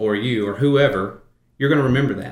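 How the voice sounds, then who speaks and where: With audible room echo around him, a man with a Southern US accent speaks at a medium pitch with ordinary pitch variation. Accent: US South. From Arkansas. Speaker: insurance consultant. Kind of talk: interview.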